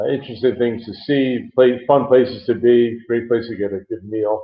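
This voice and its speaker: An ordinary speaking voice from a man, medium in pitch, at a fairly quick pace. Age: 60s. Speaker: property developer executive. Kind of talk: interview.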